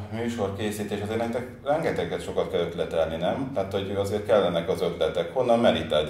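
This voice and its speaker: A man talking at a fairly quick pace with hardly any pauses, amid audible room echo and noticeable background noise. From Nyíregyháza, eastern Hungary. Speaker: talk show host. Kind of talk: casual interview chat. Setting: studio.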